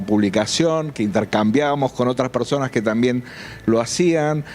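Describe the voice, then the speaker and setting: A man speaks at a moderate pace in a medium pitch with ordinary pitch variation, over noticeable background noise. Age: 60s. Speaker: UFO researcher and journalist. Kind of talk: interview. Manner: halting, many fillers.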